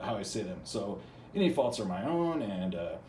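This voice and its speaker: Audible room echo surrounds a man of medium pitch who speaks with an American accent and lively intonation. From US Midwest. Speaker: channel host reading from academic books. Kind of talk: casual monologue; reading aloud with commentary. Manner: halting, many fillers and repetitions.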